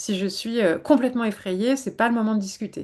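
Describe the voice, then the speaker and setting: A woman speaks at a fairly quick pace in a dark, mellow tone, her medium pitch moving with lively intonation over a quiet background. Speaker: psychologist. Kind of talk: webinar talk. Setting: online webinar. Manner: fast.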